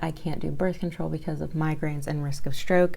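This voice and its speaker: At a fairly quick pace, a woman speaks softly. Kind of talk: casual talk to camera. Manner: soft-spoken.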